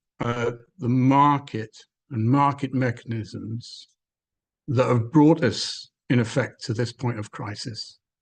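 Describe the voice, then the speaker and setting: With a Welsh accent, a man speaks at a fairly slow pace in a somewhat breathy voice with fairly even intonation. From Wales. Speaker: webinar speaker on environmental policy. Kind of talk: webinar talk. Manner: hesitant, many fillers.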